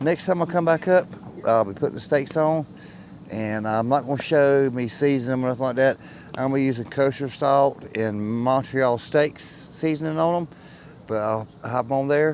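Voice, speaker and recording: A medium-pitched man's voice against noticeable background noise. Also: ordinary pitch variation, moderate pace. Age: 50s. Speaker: camping vlogger. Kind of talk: casual vlog narration.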